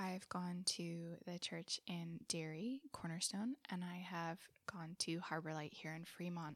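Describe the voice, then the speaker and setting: The speaker has an American accent and ordinary pitch variation. The pace is fairly slow. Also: woman, fairly low pitch for a woman. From Southern California. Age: 20s. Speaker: missionary. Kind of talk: testimony.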